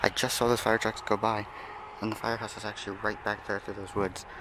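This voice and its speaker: A man rattles on at a very fast pace against noticeable background noise. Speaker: vlogger. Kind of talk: casual vlog.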